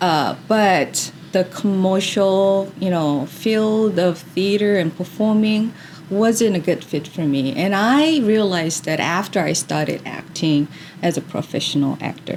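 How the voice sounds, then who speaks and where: Speaking at a fairly slow pace with a Korean accent, a woman uses a medium pitch and ordinary pitch variation. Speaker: drama therapist. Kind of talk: interview. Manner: hesitant, many fillers.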